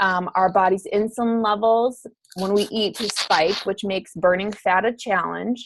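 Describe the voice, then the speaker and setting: A woman with an ordinary speaking voice talks at a moderate pace, with medium pitch and fairly even intonation. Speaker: fitness coach. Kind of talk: online course lecture.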